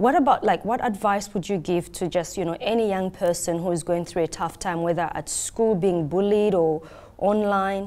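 A woman speaks at medium pitch with a dark, mellow tone. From Australia. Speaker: interview host. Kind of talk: interview. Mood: earnest, empathetic. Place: studio. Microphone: lapel.

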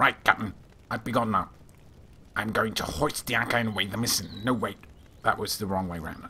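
A man's put-on character voice, fairly low in pitch, at a fairly quick pace with long, frequent pauses over clear background noise. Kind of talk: let's play voice acting.

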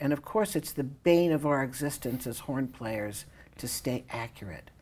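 With vocal fry and a dark, mellow tone, a woman talks at a moderate pace using lively intonation. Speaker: horn teacher. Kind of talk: masterclass instruction. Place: studio.

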